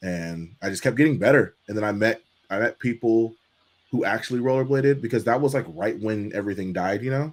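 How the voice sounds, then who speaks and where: A man with an American accent and an unremarkable speaking voice, medium in pitch with ordinary variation, fairly quick in pace, in a very clean recording over a silent background. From Los Angeles, US. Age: 30s. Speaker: inline skater and skate channel host. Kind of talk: casual interview. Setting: live stream.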